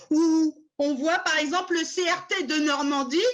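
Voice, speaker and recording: Loud and extremely high in pitch, a woman's voice comes through. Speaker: tour guide. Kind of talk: web conference presentation. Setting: video call. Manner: animated. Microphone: bad computer sound, mic problem.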